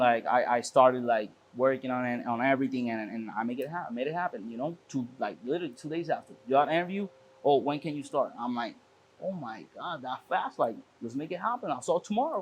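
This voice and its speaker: A man speaks with a Spanish accent at a fairly quick pace. His pitch variation is ordinary. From Puerto Rico. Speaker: car shop owner. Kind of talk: casual interview. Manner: halting with frequent repetitions.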